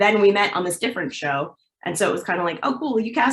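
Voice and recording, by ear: A natural voice reads aloud, its intonation lively. Nothing else can be heard behind it.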